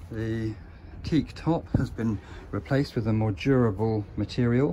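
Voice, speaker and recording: Somewhat breathy with a dark, mellow tone, a man speaks at a moderate pace with ordinary pitch variation over light background noise. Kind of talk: walkthrough commentary. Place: boat. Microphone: phone near.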